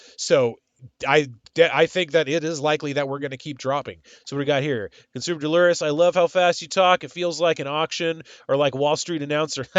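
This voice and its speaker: Fairly quick man's speech with fairly even intonation. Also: fairly high pitch for a man. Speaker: finance streamer. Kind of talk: live stream market commentary. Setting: live stream. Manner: fast, auctioneer-like.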